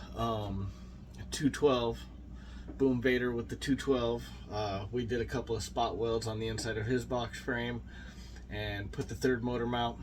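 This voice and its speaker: With audible room echo, a man speaks at a fairly slow pace, taking long, frequent pauses. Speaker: motorcycle builder YouTuber. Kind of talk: casual walkthrough video. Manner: unscripted, halting with fillers.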